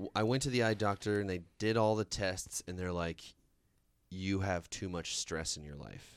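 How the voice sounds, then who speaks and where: Very deep, low-pitched male voice with ordinary pitch variation, on a very clean recording with a silent background. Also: moderate pace. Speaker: podcast co-host. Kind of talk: casual chat.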